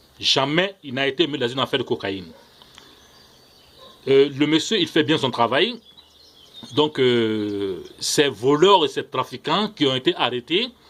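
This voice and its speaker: Through noticeable background noise, a man with a fairly high pitch and lively intonation talks at a fairly slow pace, leaving long, frequent pauses. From Ivory Coast. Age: young. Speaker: political commentator vlogger. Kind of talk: video monologue. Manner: hesitant, frequent fillers; impassioned.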